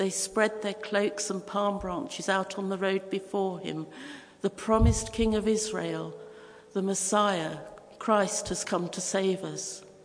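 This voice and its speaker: Noticeable background noise and audible room echo accompany a woman speaking at a fairly slow pace in a monotone, flat intonation. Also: medium pitch for a woman. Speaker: preacher. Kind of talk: sermon.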